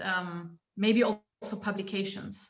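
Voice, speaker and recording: A woman speaks in a medium pitch and sounds somewhat breathy. Her intonation is monotone and flat. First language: not English. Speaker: anthropologist. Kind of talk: academic panel discussion question. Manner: halting, many fillers.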